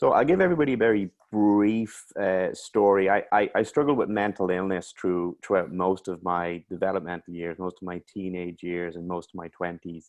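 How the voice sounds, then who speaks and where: A very deep, low-pitched man's voice in an Irish accent, at a moderate pace with ordinary pitch variation and hardly any pauses. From Ireland. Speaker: mental health coach. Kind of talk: interview.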